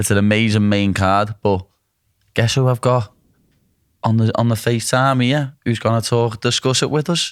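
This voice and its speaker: A man in a Liverpool accent at medium pitch, with long, frequent pauses and very even loudness, on a very clean recording with a silent background. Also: fairly even intonation, moderate pace. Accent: Liverpool (Scouse). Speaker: UFC fighter. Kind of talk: casual podcast talk.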